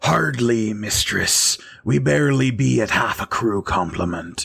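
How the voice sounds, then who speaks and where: A man's put-on character voice, fairly low in pitch, with very wide pitch swings and a fairly slow delivery. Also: very even loudness. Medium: actual play.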